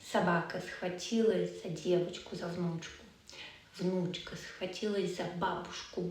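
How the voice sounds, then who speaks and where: A woman with a medium pitch speaks at a very slow pace. Room echo and background noise are both noticeable. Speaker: language teacher. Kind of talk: storytelling lesson.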